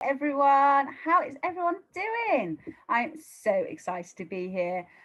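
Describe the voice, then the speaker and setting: A woman with a British accent speaks fairly slowly in a high, animated voice, with very wide pitch swings and big swings in loudness. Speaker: dog trainer. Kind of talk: live-stream webinar talk. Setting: live video stream.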